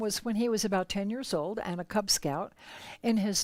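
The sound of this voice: The reading comes in an unforced voice.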